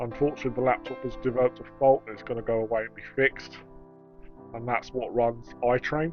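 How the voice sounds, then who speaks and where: Music plays in the background as a man talks at a very fast pace. His intonation is fairly even. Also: medium pitch for a man. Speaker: model railway hobbyist. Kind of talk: casual tutorial talk to camera.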